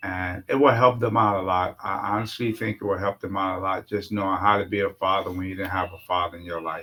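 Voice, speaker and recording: Very fast and fairly even in intonation, a man talks at a fairly low pitch. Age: 60s. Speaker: uncle and father figure, guest. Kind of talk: casual interview conversation.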